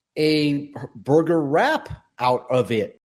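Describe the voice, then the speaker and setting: A man with an American accent, fairly high in pitch, with ordinary pitch variation. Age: 60s. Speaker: podcast co-host. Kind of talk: casual chat.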